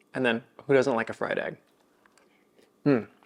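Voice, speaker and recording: A man's voice at medium pitch with fairly even intonation. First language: Kapampangan. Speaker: cooking channel host. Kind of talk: cooking tutorial and tasting. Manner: casual.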